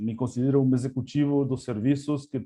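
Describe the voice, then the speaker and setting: This man speaks with an Argentine accent at a moderate pace. His pitch sits in the medium range. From Argentina. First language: Spanish (speaking Portuguese). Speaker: language services executive. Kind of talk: webinar presentation. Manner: hesitant, many fillers.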